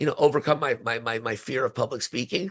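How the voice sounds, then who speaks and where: A man's energetic voice comes through bright and sharp in tone over a quiet background. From San Francisco Bay Area. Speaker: arena announcer and hype man. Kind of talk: interview answer. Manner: casual, energetic.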